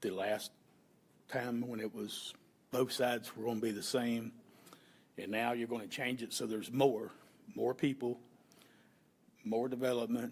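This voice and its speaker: Someone with a Florida accent talks at a moderate pace, leaving long, frequent pauses. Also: man. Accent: Southern US (Florida). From Florida, Polk County area. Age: 60s. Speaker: member of the public at county hearing. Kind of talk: public comment at hearing. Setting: county commission meeting.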